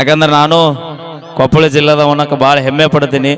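A man is talking, and noticeable background noise can be heard. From North Karnataka, Koppal district. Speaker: folk stage comedian. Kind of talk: live stage comedy show. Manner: loud.

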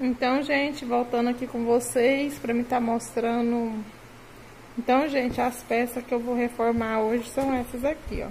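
Over light background noise, a woman speaks at a moderate pace in a high pitch with monotone, flat intonation and very even loudness. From Brazil, Mato Grosso. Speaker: sewing YouTuber. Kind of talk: casual vlog tutorial. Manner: chatty, informal. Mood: cheerful, smiling. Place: home room. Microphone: phone near.

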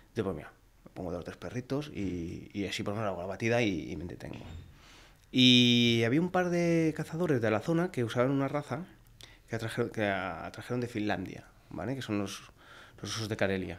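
At a fairly quick pace, a man talks in a medium pitch with very wide pitch swings. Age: 40s. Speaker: hunter; podcast guest. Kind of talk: casual chat. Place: studio. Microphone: studio mic.

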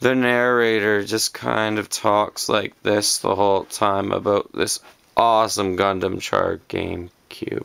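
Someone mumbles in a put-on character voice at a fairly slow pace. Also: man, fairly low pitch for a man. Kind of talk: casual tutorial narration. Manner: mumbling, monotone.

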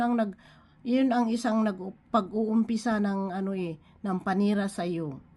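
A woman speaks at a fairly slow pace in a somewhat breathy voice. Her pitch varies in an ordinary way. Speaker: online devotional speaker. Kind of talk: devotional preaching. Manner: halting, with frequent fillers; code-switching Tagalog and English.

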